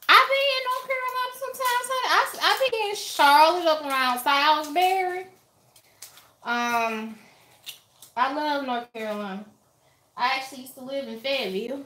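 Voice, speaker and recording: A woman with an American accent, raised and projected voice, high pitch and bright, sharp tone, very wide pitch swings and big swings in loudness, moderate pace with long, frequent pauses. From Alabama, US South. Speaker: YouTuber, lifestyle vlogger. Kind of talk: casual livestream chat. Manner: animated.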